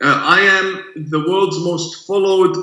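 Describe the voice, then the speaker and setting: A man with an Arabic accent, monotone and flat in intonation, with audible room echo. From Iran / Middle East. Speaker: imam. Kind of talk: interview discussion.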